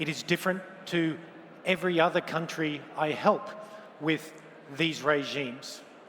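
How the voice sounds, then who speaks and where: With an Australian accent, a man speaks at a fairly high pitch and a moderate pace, his intonation fairly even. Long, frequent pauses break up his speech, and noticeable background noise is present. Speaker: lawyer and open finance policy expert. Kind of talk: conference keynote talk.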